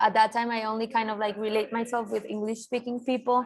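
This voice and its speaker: A woman talks in a fairly high voice with a Colombian accent. Her intonation is monotone and flat. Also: very clean recording, silent background. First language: Spanish. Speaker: designer and art director. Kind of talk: interview. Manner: halting, many fillers.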